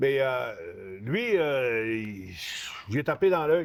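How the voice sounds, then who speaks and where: A man speaks with a Lac-Saint-Jean accent. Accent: Lac-Saint-Jean Québécois French. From Quebec, Saguenay–Lac-Saint-Jean. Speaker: retired professional wrestler. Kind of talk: casual interview. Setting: store.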